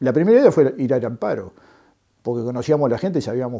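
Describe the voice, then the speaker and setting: A man talks in a Uruguayan accent. His tone is dark and mellow. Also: quiet background. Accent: Rioplatense Spanish (Uruguayan). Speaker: former political prisoner, construction worker and trade unionist. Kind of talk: testimony interview. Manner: halting, many fillers.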